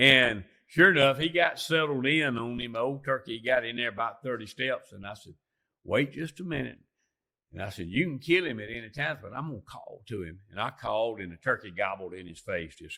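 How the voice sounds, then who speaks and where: A man with an Alabama accent talks fairly quickly at a medium pitch, his tone bright and sharp. His intonation is lively, his loudness swings widely, and the recording is very clean with a silent background. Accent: Southern US (Alabama). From US South, lower Alabama. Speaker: turkey hunter and outdoorsman. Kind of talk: casual chat. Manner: animated.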